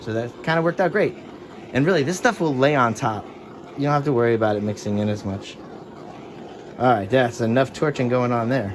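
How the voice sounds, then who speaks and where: A man of medium pitch speaks at a fairly quick pace, with ordinary pitch variation. Long, frequent pauses break up his speech, and there is noticeable background noise. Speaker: fluid art painter, tutorial creator. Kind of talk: tutorial. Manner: casual, conversational.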